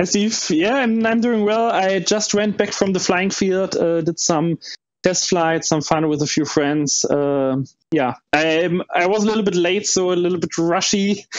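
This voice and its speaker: This man speaks at a fairly slow pace in a high voice with ordinary pitch variation and a slight German accent. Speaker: panel co-host, model plane hobbyist. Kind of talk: casual chat.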